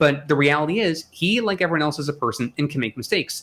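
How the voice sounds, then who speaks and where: Very fast speech comes from a man with a fairly high voice. His pitch varies in an ordinary way. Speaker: podcast guest, Tesla commentator. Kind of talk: casual panel discussion. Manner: loud.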